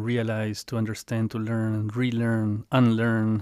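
A man at medium pitch, very slow, in a very clean recording with a silent background. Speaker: podcast host. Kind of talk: casual conversational interview. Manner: halting.

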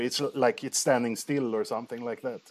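The speaker is a man. He has a Swedish accent. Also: very clean recording, silent background. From Sweden. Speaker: podcast host. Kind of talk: casual interview conversation. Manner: halting, repeats words.

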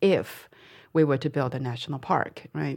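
There is ordinary pitch variation as a woman with a Chinese accent speaks in a very clean recording with a silent background. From Dali, Yunnan, China. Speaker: company founder and author. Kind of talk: interview conversation. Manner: halting, with fillers.

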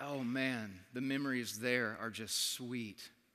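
A man's bright, sharp, medium-pitched voice with audible room echo. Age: 30s. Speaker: worship conference speaker. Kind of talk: sermon.

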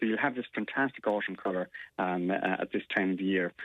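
A man with an Irish accent speaks at a very fast pace. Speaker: gardening expert. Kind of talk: casual chat.

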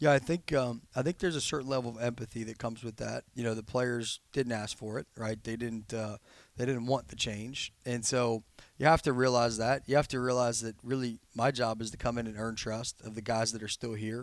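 On a very clean recording with a silent background, a man with a normal speaking voice and an American accent talks at a fairly quick pace, his medium pitch carrying fairly even intonation. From Ohio, Cincinnati. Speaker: college football head coach. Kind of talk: interview.

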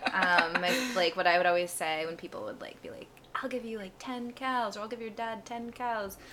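Noticeable background noise sits behind a woman with an American accent and a fairly high voice. She talks at a moderate pace with ordinary pitch variation and big swings in loudness. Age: 20s. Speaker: charity founder, former aid volunteer. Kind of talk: casual interview.

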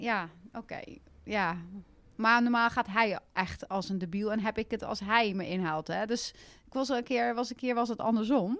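This woman has an unremarkable speaking voice, with a moderate pace and ordinary pitch variation. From Netherlands, Gelderland (Westervoort). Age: 40s. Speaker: karate champion and youth coach. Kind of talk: podcast interview.

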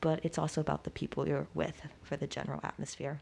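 Speaking at a very fast pace, a woman uses vocal fry and a very deep, low pitch. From West Virginia, US. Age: 20s. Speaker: university student. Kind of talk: interview.

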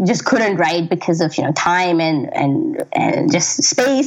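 The woman's pitch swings very widely. Noticeable background noise runs under her voice. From Pakistani Canadian. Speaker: writer. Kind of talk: casual chat.

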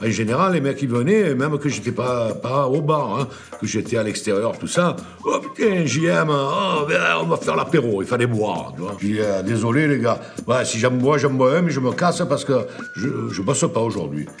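A man at medium pitch with lively intonation and a moderate pace, with audible room echo and music in the background. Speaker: bar owner. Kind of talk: documentary interview, casual anecdotes.

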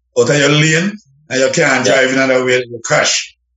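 A man with a Jamaican accent talks at a fairly quick pace. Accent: Jamaican patois-inflected English. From Jamaica, Clarendon. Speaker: reggae singer. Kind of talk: radio interview.

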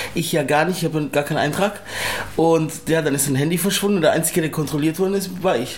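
A man with a fairly high voice talks very fast with ordinary pitch variation, over noticeable background noise and audible room echo. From Czech Republic and Germany. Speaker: Sinto grandson of Holocaust survivor. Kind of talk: interview testimony.

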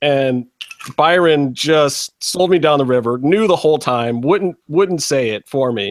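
A man speaks at a fairly slow pace in a plain, everyday voice, his fairly high pitch showing ordinary variation. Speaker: podcast host. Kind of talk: casual chat. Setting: video call.

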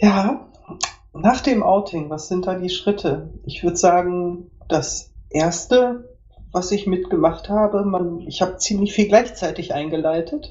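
Very slowly, a woman talks in a somewhat breathy voice, her pitch varying in an ordinary way. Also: medium pitch for a woman. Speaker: podcast guest. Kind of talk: interview.

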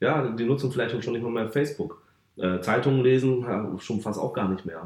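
A man speaks at a fairly quick pace. Room echo is audible around him. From northern Germany, North Sea coast (Varel). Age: 30s. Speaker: football club sponsorship manager. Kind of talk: podcast interview. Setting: football stadium.

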